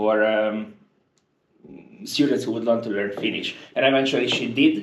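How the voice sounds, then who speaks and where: A man with a Hungarian accent speaks at a fairly low pitch and moderate pace. His intonation is fairly even, and the room echo is audible. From Hungary. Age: 20s. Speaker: university international office worker. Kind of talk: casual interview conversation. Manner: hesitant, many fillers.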